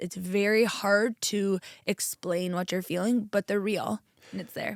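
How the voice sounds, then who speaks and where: A woman speaks in a plain, everyday voice with an American accent, medium pitch and ordinary pitch variation. The recording is very clean and dry, close with no echo, over a silent background. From New York. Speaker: chiropractor. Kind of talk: interview. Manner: fast.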